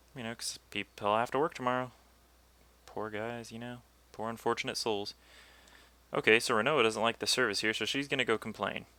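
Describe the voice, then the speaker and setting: A quiet man at a fairly quick pace, with long, frequent pauses, big swings in loudness and fairly even intonation, on a very clean recording with a silent background. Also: medium pitch for a man. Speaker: let's play commentator. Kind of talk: gameplay commentary. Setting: home recording at night. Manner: speaking quietly. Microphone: audio quieter than game.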